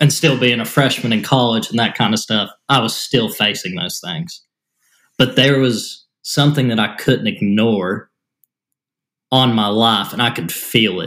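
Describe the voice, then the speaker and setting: A man with an East Tennessee accent, a medium pitch and a bright, sharp tone, at a fairly slow pace with ordinary pitch variation. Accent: US Southern (East Tennessee). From Tennessee, near Chattanooga. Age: 20s. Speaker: podcast co-host. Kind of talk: casual chat.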